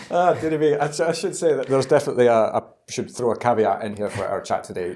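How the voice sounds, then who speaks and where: Speaking very fast, a man with a fairly high pitch and a dark, mellow tone uses lively intonation and vocal fry. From Scotland. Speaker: podcast host. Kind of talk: interview podcast. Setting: in person at a London members club.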